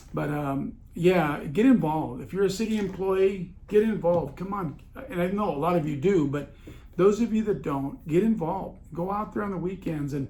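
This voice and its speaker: Speech at a moderate pace with ordinary pitch variation, amid audible room echo. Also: man, high pitch for a man. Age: 60s. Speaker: podcast host, municipal staffing consultant. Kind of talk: casual monologue podcast. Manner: halting, many fillers; animated.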